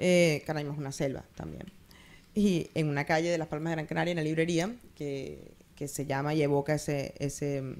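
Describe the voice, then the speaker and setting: A woman's very deep, low voice keeps a fairly even intonation. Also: moderate pace. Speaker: writer and book critic. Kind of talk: book presentation speech.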